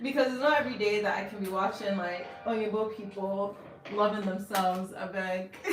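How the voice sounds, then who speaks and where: A woman at a moderate pace with ordinary pitch variation, audible room echo and music in the background. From US, Nigerian family. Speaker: artist livestreamer. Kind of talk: casual livestream chat while painting. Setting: home art studio, live stream. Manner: animated.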